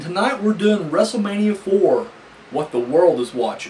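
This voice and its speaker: With noticeable background noise behind him, a man speaks at a moderate pace in a high voice. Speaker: wrestling reviewer. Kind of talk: casual review talk to camera.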